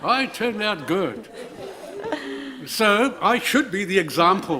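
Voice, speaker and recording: Over noticeable background noise, a man projects a raised voice at a high pitch, with lively intonation and a very slow pace. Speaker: tribunal panel member. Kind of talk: hearing questioning.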